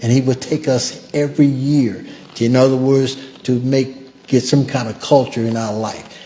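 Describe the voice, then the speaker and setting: In an American accent, a man talks at a moderate pace and a medium pitch, his intonation monotone and flat, with noticeable background noise. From US South, Natchez, Mississippi. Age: 70s. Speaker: civil rights survivor. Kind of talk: testimony. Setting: museum event with audience.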